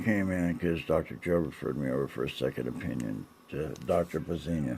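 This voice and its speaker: With vocal fry in his very deep, low voice, a man speaks at a fairly quick pace. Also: ordinary pitch variation. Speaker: chronic pain patient vlogging. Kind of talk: personal video diary. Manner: halting, repetitive.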